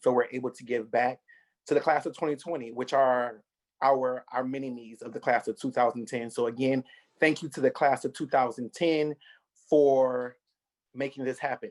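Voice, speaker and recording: With an American accent and a plain, everyday voice, a man talks at a moderate pace in a medium pitch with fairly even intonation and a dry, close sound with no echo. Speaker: scholarship organizer. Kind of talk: video call ceremony speech.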